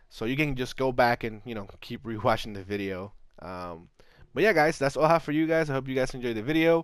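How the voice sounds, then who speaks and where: With lively intonation, a man races along at a very fast pace. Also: medium pitch for a man, big swings in loudness, very clean recording, silent background. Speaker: gaming youtuber. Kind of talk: video tutorial. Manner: hesitant, many fillers.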